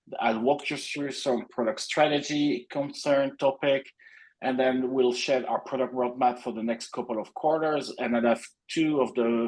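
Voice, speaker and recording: With a slight French accent, a man speaks at medium pitch with fairly even intonation. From France. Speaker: product executive. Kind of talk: webinar presentation.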